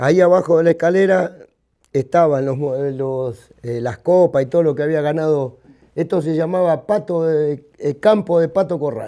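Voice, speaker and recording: A man speaks with a dark, mellow tone. His pitch sits fairly high. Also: ordinary pitch variation, moderate pace. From Argentina, Buenos Aires (Mataderos). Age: 60s. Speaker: local cattle market veteran. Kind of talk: casual chat.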